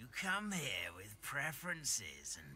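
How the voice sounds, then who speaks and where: A man puts on a raspy character voice at medium pitch, talking fairly slowly over clear background noise. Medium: video game. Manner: slow, musing, with thoughtful hums.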